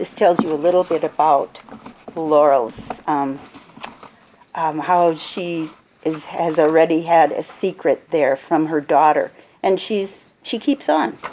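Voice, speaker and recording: Over noticeable background noise, someone with an Upper Midwest accent speaks at a very slow pace with ordinary pitch variation. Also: woman, fairly low pitch for a woman. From Minnesota. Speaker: author. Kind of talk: author talk at a book fair. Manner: hesitant with fillers.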